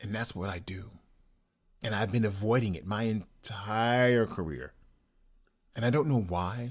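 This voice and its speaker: Pace is moderate with long, frequent pauses and ordinary pitch variation. The recording is very clean with a silent background. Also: man. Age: 60s. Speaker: writer and podcast host. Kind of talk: personal monologue.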